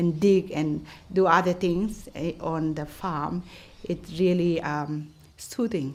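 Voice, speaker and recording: Pitch varies in an ordinary way while the words come at a very slow pace. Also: woman. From Burma, Chin State. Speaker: community resident interviewee. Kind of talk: interview. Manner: halting.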